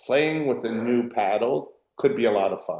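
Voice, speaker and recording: Medium-pitched male voice, fairly slow in pace, with lively intonation. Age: 60s. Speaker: paddle company founder. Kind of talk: podcast interview. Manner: animated.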